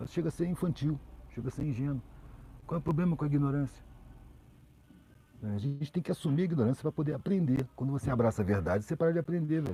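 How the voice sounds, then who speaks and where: Talking at a very fast pace, a man uses lively intonation in a medium pitch with a dark, mellow tone. His voice is somewhat breathy. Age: 60s. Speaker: social commentator. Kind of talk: live stream conversation. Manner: casual, slangy.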